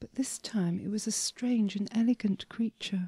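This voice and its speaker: This woman has a medium pitch and a dark, mellow tone. Her voice is somewhat breathy. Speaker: story writer and reader. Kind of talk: sleep story. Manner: soft-spoken, whispering.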